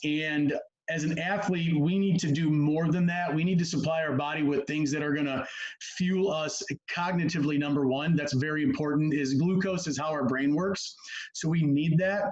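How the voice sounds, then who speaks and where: Fairly high-pitched male speech in a fairly even intonation, with audible room echo. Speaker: sports nutrition and performance coach. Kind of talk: presentation on a video call. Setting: video call. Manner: fast.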